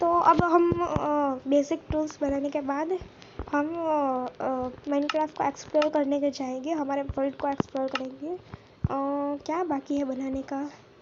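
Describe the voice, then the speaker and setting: With noticeable noise behind her, a woman speaks in a high pitch with fairly even intonation. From Gujarat, India. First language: Gujarati (speaking Hindi). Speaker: gaming YouTuber. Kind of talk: gameplay commentary. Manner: hesitant, many fillers. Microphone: poor voice quality.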